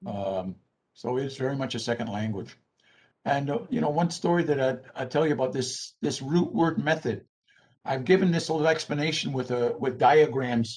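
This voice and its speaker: Somewhat breathy male voice, its pitch varying in an ordinary way. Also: medium pitch for a man, moderate pace. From Six Nations of the Grand River, Ontario. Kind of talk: Q&A after a talk. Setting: online video call.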